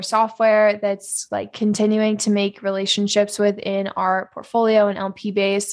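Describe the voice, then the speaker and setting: Over a quiet background, a woman speaks at a moderate pace in a plain, everyday voice at medium pitch. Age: 20s. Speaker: venture capital fund manager. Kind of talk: interview. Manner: casual, filler-heavy.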